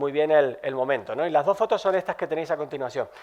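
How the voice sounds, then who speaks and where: Here a man talks in a Canarian accent. His pace is very fast and his intonation fairly even. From Canary Islands. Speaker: tech company executive. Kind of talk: conference talk.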